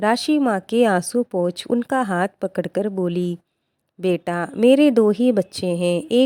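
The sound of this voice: Over a quiet background, the speaker reads in an unforced reading voice.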